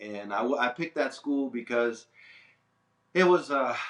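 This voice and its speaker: The speaker has an American accent and a fairly slow pace. Pitch moves in an ordinary way. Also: man. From Delaware, US. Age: 60s. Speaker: fine artist. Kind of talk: interview. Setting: art studio. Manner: casual, halting.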